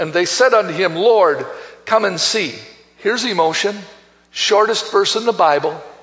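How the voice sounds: The speaker reads in a natural reading voice, and the intonation stays lively.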